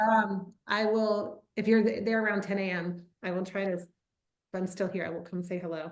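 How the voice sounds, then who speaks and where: A woman with an unremarkable speaking voice and an American accent talks at medium pitch and moderate pace, with fairly even intonation. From US South, Atlanta, Georgia. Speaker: winemaker. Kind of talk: casual chat. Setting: video call.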